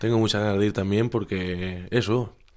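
With fairly even intonation and a fairly low pitch, a man is talking. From Spain, Alicante province. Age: young. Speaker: volunteer. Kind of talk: casual interview. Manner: halting.

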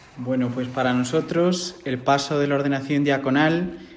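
There is audible room echo and noticeable background noise as a man speaks at a fairly high pitch and moderate pace, with fairly even intonation. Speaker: seminarian about to be ordained deacon. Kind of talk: interview.

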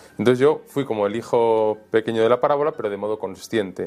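The delivery is very fast. The background is quiet. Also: man. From Spain (Valencia, Almería, Madrid). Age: young. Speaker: priest and author. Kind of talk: interview storytelling. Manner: casual, colloquial.

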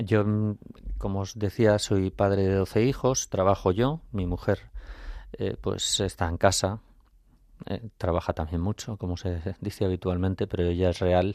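A man's ordinary speaking voice at a fairly slow pace, with fairly even intonation. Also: fairly low pitch for a man. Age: 50s. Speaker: architect and lay catechist. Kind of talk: faith testimony on radio. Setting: radio studio.

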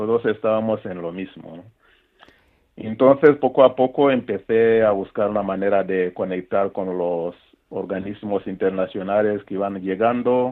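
With a normal speaking voice, a man talks at a fairly slow pace and fairly low pitch, with ordinary pitch variation and big swings in loudness. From Rwanda, north of Kigali. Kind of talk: interview testimony.

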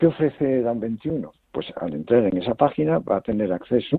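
A man talks fairly slowly, his pitch swinging very widely. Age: 80s+. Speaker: foundation president and researcher. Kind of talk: interview. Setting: phone call.

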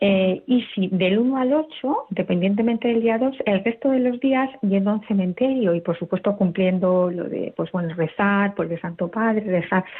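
At a moderate pace with hardly any pauses, a woman speaks in an unremarkable speaking voice at medium pitch, with ordinary pitch variation. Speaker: radio caller. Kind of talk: listener question on call-in show. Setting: phone call.

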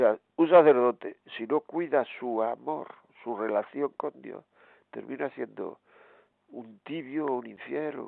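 A man talks at a very slow pace, with big swings in loudness. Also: medium pitch for a man, ordinary pitch variation. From Granada, Spain. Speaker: radio host and priest.

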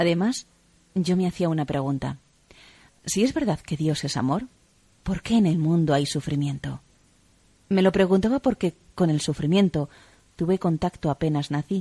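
A woman with a dark, mellow tone and fairly low pitch, ordinary pitch variation, a moderate pace and long, frequent pauses, in a very clean recording with a silent background and a dry, close sound with no echo. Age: 40s. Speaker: convert giving testimony. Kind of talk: testimony.

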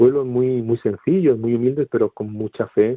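This man's pitch is medium. His pace is fairly quick. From Seville, Andalusia, Spain. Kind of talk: radio interview. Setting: phone call. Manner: halting.

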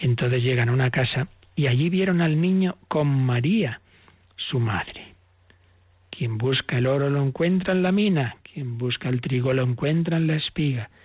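A somewhat breathy man at a fairly slow pace, with ordinary pitch variation. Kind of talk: catechism teaching on radio.

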